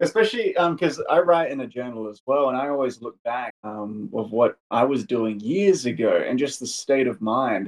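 This man has a plain, everyday voice at a medium pitch, with lively intonation and big swings in loudness. He keeps a moderate pace with hardly any pauses. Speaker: podcast interviewer. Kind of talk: interview.

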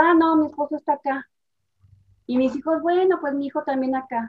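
The speech moves at a fairly quick pace with fairly even intonation, in a dry, close sound with no echo. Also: woman. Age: 50s. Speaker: family systems therapist. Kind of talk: interview.

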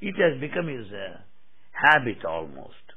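Speaking with a Telugu accent, a man keeps a fairly slow pace. His pitch swings very widely. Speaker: spiritual speaker. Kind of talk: spiritual discourse. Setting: hall with audience.

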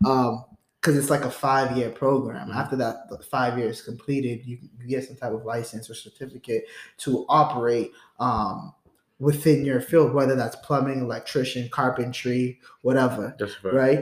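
A man with a medium pitch uses a normal speaking voice and fairly even intonation. His loudness swings widely. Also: moderate pace. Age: 20s. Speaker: podcast host. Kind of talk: casual chat.

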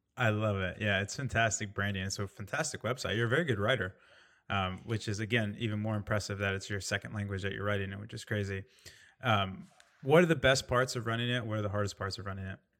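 A man with a Midwestern American accent talks very fast at a fairly low pitch with ordinary pitch variation, captured in a very clean recording with a silent background. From Indiana. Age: 30s. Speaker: podcast host. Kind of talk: casual chat.

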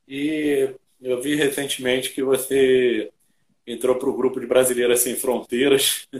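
Speaking with a Brazilian accent, a man holds a medium pitch. His intonation is monotone and flat. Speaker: podcast host. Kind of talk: casual interview.

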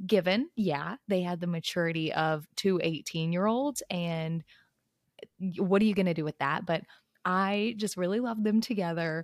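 A woman speaks at a medium pitch and moderate pace in an ordinary speaking voice, with ordinary pitch variation and a dry, close sound with no echo. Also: very clean recording, silent background. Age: 20s. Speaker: book club podcast co-host. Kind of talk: casual chat.

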